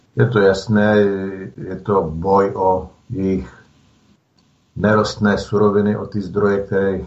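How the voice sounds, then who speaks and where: Somewhat breathy, a man speaks at a fairly slow pace in a very deep, low pitch. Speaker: reserve soldier activist. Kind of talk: radio interview.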